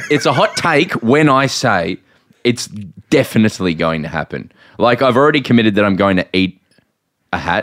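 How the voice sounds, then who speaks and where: In an Australian accent, the voice moves at a moderate pace with very wide pitch swings and long, frequent pauses, in a dry, close sound with no echo. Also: man, medium pitch for a man. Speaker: podcast host. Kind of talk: casual chat.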